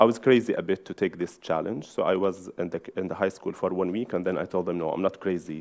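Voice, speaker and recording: A man with an Arabic accent talks at a very fast pace in a very deep, low voice, his intonation fairly even. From Syria. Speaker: journalist and magazine editor. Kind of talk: conference talk. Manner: halting.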